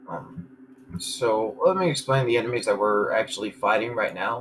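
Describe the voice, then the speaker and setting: A man talks over noticeable background noise. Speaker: gaming video creator. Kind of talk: gameplay commentary. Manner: level, even volume.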